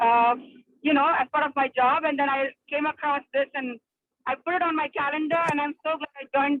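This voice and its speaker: Here a woman talks with a high pitch. She moves at a fairly quick pace with fairly even intonation. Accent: Indian. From India. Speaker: psychiatrist. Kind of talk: casual chat. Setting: video call from a car while driving. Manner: halting, many fillers.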